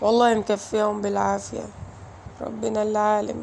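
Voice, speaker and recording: A woman talks in an Egyptian accent. Her pace is moderate. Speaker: vlogger mother. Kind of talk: emotional personal vlog. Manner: emotional, halting.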